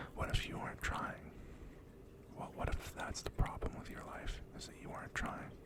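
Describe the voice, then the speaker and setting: A man whispers at a moderate pace with big swings in loudness. Noticeable background noise can be heard. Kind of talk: ASMR positive affirmations and words of wisdom. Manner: soft whispered.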